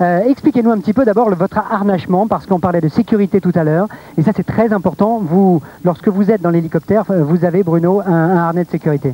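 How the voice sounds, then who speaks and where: A man at a very fast pace, high in pitch, with ordinary pitch variation and very even loudness, in a dry, close sound with no echo and noticeable background noise. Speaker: TV presenter. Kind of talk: live TV presentation.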